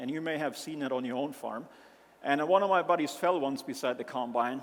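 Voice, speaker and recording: This man's voice is fairly high. He moves at a fairly quick pace and varies his pitch in an ordinary way. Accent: German. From Germany, rural mountain area. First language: German. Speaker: agricultural company founder. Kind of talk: conference presentation. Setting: stage with audience.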